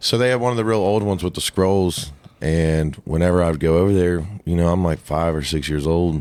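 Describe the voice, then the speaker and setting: At a fairly quick pace, a man speaks in a very deep, low pitch with ordinary pitch variation. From US Midwest, southwest Ohio. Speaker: country singer-songwriter. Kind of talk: casual chat.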